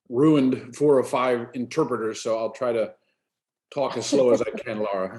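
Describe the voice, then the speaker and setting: A medium-pitched man with an American accent and fairly even intonation. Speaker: AA speaker. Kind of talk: testimony. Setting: video call. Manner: fast.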